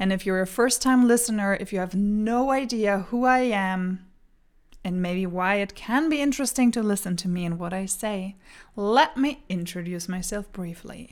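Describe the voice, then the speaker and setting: A woman's medium-pitched voice with ordinary pitch variation on a very clean recording with a silent background. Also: moderate pace. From Germany. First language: German. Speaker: podcast host and coach. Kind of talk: solo podcast monologue, motivational. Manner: energetic, animated.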